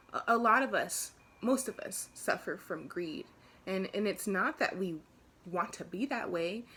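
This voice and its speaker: Pitch varies in an ordinary way as the speaker goes at a fairly slow pace. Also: woman. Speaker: yoga practitioner and vlogger. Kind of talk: casual vlog talk to camera. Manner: halting, self-correcting.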